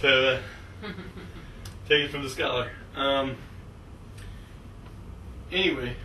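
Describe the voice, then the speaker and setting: Over noticeable background noise, a man speaks with fairly even intonation and long, frequent pauses. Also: fairly high pitch for a man. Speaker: astrologer. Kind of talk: astrology class lecture. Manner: fast.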